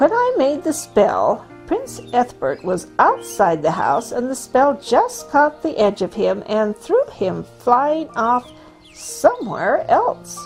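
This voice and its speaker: A woman's put-on character voice, high-pitched, with clear music in the background. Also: fairly slow pace. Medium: read story. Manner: pompous, self-important.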